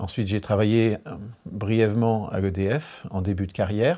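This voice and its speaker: A man speaks at a fairly low pitch in a dark, mellow tone. His pace is moderate, on a very clean recording with a silent background. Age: 60s. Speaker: engineer, energy expert. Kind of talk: interview.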